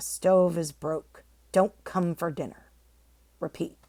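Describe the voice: Woman's put-on character voice, fairly low in pitch, at a fairly slow pace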